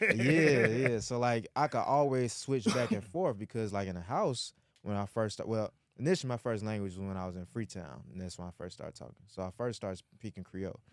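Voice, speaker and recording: An unremarkable speaking voice from a man, fairly low in pitch and fairly quick, with big swings in loudness and a dry, close sound with no echo. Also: lively intonation. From Atlanta, US South. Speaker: podcast co-host. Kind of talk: casual chat.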